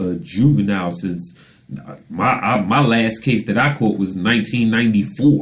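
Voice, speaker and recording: Pitched in the middle, this man's voice is an unremarkable speaking voice. He speaks at a fairly slow pace with ordinary pitch variation. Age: 40s. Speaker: radio show host and author. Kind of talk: casual interview chat.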